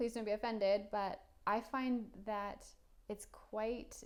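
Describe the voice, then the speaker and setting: This woman keeps a very slow pace. Her intonation remains fairly even throughout. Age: 30s. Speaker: career advice vlogger. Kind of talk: casual monologue.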